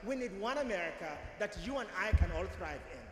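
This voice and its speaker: Speaking at a fairly quick pace with a non-native accent, a man is heard amid noticeable background noise and audible room echo. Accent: foreign accent, self-noted. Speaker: political candidate. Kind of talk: campaign speech.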